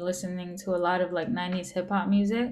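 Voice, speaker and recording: A woman speaks with a New York accent. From New York, the Bronx. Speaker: rapper. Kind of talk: interview. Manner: nonchalant, sounds unamused.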